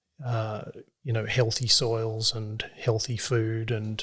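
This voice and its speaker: Using a medium pitch, a man with an Australian accent speaks in a monotone, flat intonation. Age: 40s. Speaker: regenerative farmer. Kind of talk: podcast interview answer. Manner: gentle-spoken, modest.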